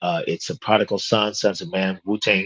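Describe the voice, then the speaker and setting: A plain, everyday voice speaks at a moderate pace with lively intonation. The sound is dry and close with no echo, over a quiet background. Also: man. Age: 60s. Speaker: fitness business owner and show host. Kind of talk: casual interview chat.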